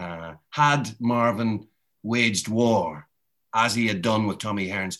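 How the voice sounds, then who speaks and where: A man with a Northern Irish accent speaks at a fairly low pitch with a bright, sharp tone, recorded very cleanly against a silent background. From Northern Ireland. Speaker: boxing author and journalist. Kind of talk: interview.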